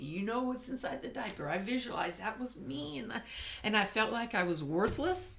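A woman's voice over noticeable background noise. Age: 60s. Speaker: guest sharing faith story. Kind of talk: testimony.

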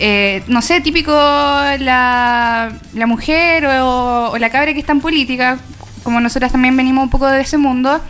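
Noticeable background noise sits behind a woman speaking in a high voice at a fairly slow pace. Her intonation is fairly even, and her loudness stays very even. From Chile, Coyhaique (Aysén). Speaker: feminist activist. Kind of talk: radio panel discussion.

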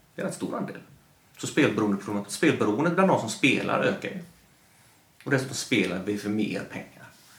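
Very wide pitch swings at a moderate pace, with long, frequent pauses and audible room echo. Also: man, fairly low pitch for a man, big swings in loudness. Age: 40s. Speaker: gambling industry commentator. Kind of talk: casual chat.

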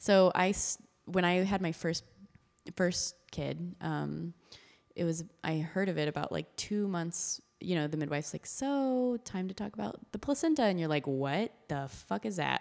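A woman with an American accent and a plain, everyday voice speaks at a fairly slow pace and fairly low pitch, her intonation lively. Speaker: podcast host. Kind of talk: casual chat.

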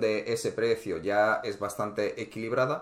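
A man talks in an unremarkable speaking voice at a fairly slow pace. His pitch sits in the medium range. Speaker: precious metals investing podcast host. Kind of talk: casual interview.

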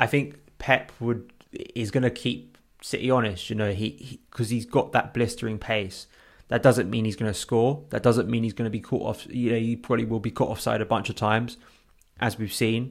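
A man with an unremarkable speaking voice talks at a moderate pace in a medium pitch, with fairly even intonation. The recording is very clean, with a silent background. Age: 20s. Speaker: football podcast co-host. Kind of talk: casual chat.

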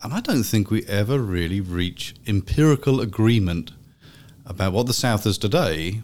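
Lively intonation marks this man's English accent. He speaks at a moderate pace in a fairly low voice. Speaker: history professor. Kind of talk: academic panel conversation.

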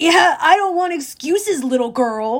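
A growling, put-on character voice at an extremely high pitch and a moderate pace. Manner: menacing, impatient.

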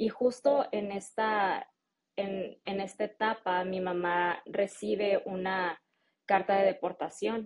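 A woman with a Mexican accent, medium-pitched, her intonation fairly even, at a very slow pace. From Mexico. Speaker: marketing specialist and English-teaching entrepreneur. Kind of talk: interview.

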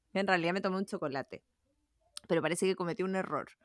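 The recording of this woman at a medium pitch has a dry, close sound with no echo. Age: 30s. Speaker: podcast co-host. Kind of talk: casual chat.

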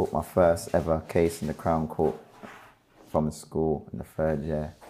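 In a London accent, a man speaks fairly slowly with a very deep, low pitch, a dark, mellow tone and monotone, flat intonation. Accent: London Multicultural English. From London, Brixton. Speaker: rapper. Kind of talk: casual chat.

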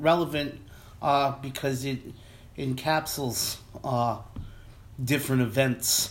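A man at a fairly slow pace. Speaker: podcast host. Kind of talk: casual chat. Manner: filler-heavy, halting.

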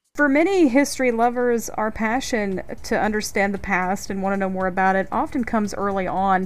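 A normal speaking voice from a woman, fairly high in pitch, at a fairly quick pace with ordinary pitch variation. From North Carolina. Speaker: podcast host. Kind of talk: podcast interview and scripted segments.

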